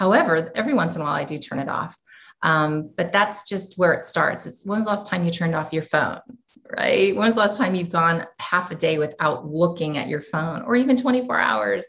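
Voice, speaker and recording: With an American accent, a woman speaks at a moderate pace in a fairly low pitch with lively intonation. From US. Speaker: educator and entrepreneur. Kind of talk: interview.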